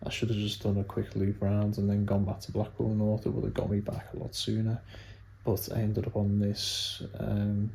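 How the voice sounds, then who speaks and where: Soft-spoken and somewhat breathy, a man with a fairly low pitch and a dark, mellow tone speaks at a moderate pace in a monotone, flat intonation. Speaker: cycling vlogger. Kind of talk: vlog recap. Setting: at home, evening.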